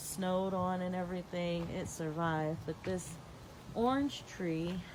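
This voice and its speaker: Speech at a fairly slow pace with ordinary pitch variation carries audible room echo. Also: woman. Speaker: home gardener and vlogger. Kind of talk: casual vlog garden tour. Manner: chatty, informal.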